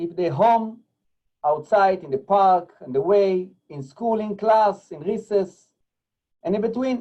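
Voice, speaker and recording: This man has a non-native accent and a high pitch with a dark, mellow tone. He shows ordinary pitch variation and takes long, frequent pauses. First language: not English. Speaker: rabbi and school technology director. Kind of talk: presentation. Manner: halting.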